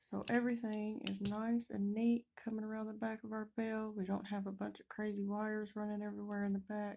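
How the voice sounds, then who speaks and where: A woman speaks fairly quickly at a fairly high pitch. Her tone is dark and mellow, her intonation monotone and flat. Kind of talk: tutorial. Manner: casual, friendly.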